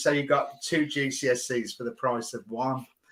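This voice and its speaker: The voice has a Birmingham accent. Its tone is bright and sharp. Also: man. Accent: Birmingham (Brummie). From England, Birmingham. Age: 50s. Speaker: business professional. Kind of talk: casual interview.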